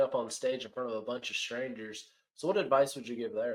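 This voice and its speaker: The man has an unremarkable speaking voice with a medium pitch. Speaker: podcast host. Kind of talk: casual interview.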